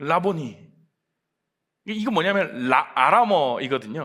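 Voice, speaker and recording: A man with a bright, sharp tone and very wide pitch swings is heard on a very clean recording with a silent background. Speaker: pastor. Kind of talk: sermon. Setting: church.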